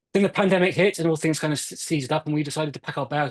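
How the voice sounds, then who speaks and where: This man speaks at a very fast pace with a British accent. His intonation stays fairly even. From UK. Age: 40s. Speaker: Parkinson's advocate. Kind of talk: interview.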